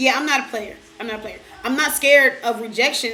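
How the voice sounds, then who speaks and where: A woman with a New York accent speaks at a fairly high pitch. Noticeable background noise and audible room echo are present. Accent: New York-like. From Detroit, Michigan. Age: 20s. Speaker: vlogger. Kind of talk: casual Q&A vlog.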